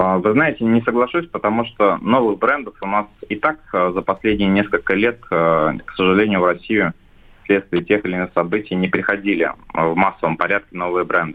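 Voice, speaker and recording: A man in a normal speaking voice at a moderate pace, with ordinary pitch variation. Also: fairly low pitch for a man. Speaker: shopping centre association head. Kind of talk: business interview. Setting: phone call.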